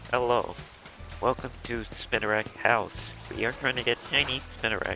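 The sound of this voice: Putting on a raspy character voice, a man speaks at a medium pitch and moderate pace in a monotone, flat intonation, with clear background noise.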